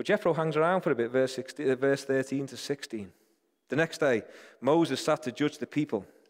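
With a British accent, a man with a fairly high pitch speaks at a fairly quick pace. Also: ordinary pitch variation, very clean recording, silent background. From Britain. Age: 40s. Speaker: church leader, preacher. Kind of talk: sermon.

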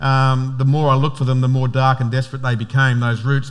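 Audible room echo surrounds a man of medium pitch with an Australian accent who speaks at a fairly quick pace. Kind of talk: sermon.

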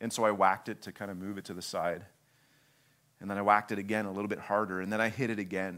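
In a very clean recording with a silent background, a man with a fairly low pitch talks very fast in a flat monotone. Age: 30s. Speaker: visiting preacher, church planting leader. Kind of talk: sermon.

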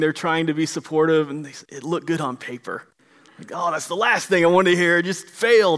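With an American accent, a man speaks at a high pitch. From Florida. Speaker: pastor. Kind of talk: sermon.

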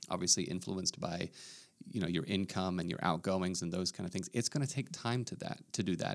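A man speaks at a very deep, low pitch and a fairly quick pace, with ordinary pitch variation. The recording is very clean, with a silent background. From Australia. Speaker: pastor. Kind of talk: casual podcast discussion.

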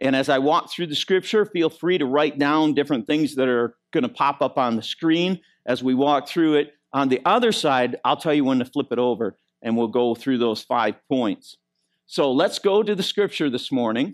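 An ordinary speaking voice from a man with an American accent, fairly high in pitch, at a moderate pace with lively intonation and very even loudness, in a dry, close sound with no echo and a very clean recording, silent background. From Michigan. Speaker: pastor. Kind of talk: sermon. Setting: church.

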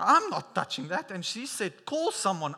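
A man's raised, projected voice, bright and sharp in tone, with very wide pitch swings. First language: not English; English is third language. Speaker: preacher. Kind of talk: sermon. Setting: church service. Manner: halting, many fillers and repeats.

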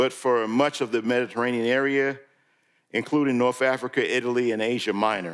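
A man with an American accent has an unremarkable speaking voice, medium in pitch with ordinary variation. He keeps a moderate pace on a very clean recording with a silent background. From New York. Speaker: guest preacher. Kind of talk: sermon.

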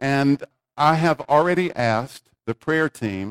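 A man in a normal speaking voice, fairly high in pitch with ordinary pitch variation, is heard in a dry, close sound with no echo. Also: very clean recording, silent background. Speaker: pastor. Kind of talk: sermon. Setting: church.

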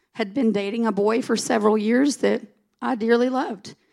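This woman talks in a Southern US accent at a moderate pace. Her pitch is fairly high and her tone is animated. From US South. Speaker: pastor's wife and preacher. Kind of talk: sermon. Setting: church.

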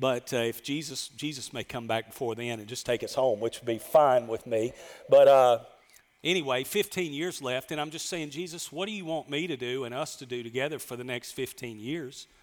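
This man speaks with a Southern US accent. His pace is moderate. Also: medium pitch for a man, ordinary pitch variation. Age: 50s. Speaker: pastor. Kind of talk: sermon. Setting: church with congregation.

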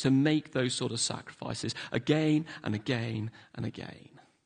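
The speaker talks with a London accent at a moderate pace. The background is quiet. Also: man. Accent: southern English (London). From London, England. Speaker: pastor. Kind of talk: sermon. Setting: church.

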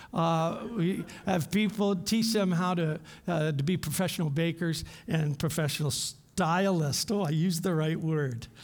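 Audible room echo surrounds a man speaking fairly slowly in a high voice. His loudness stays very even and his pitch varies in an ordinary way. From Canada, London Ontario. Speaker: missionary and former professor. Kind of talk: sermon; prayer.

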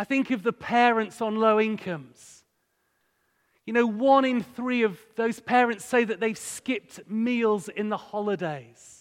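This man has a high pitch and an East Yorkshire accent. He talks at a fairly slow pace. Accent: East Yorkshire (Hull) English. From northern England, Hull. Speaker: charity director, guest speaker. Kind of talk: sermon. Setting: church with congregation.

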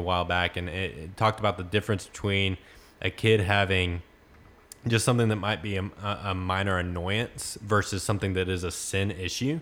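A fairly quick man with a fairly low pitch and fairly even intonation. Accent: Texan. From Texas, small town near Corsicana. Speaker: student pastor. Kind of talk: casual interview.

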